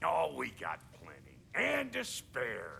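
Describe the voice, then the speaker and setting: Over clear background noise, a man puts on a raspy character voice at a fairly slow pace. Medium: video game. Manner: gruff, blunt.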